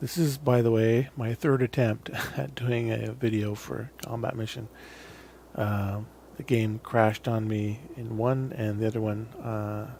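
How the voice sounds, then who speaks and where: Quiet and fairly slow, a man with a medium pitch and ordinary pitch variation speaks against noticeable background noise. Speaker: gaming video creator. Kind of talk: gameplay commentary. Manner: casual, halting with fillers; tends to get quieter while playing.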